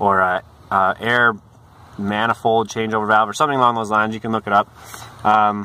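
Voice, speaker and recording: A man speaks at a fairly quick pace and a fairly low pitch, in a monotone, flat intonation. The sound is dry with no echo. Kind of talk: tutorial. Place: street. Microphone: phone near.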